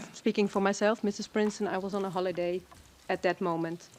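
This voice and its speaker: A woman with a Dutch accent speaks at a fairly quick pace in a medium pitch, her intonation monotone and flat. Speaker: expert witness. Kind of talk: witness testimony. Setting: courtroom. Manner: hesitant.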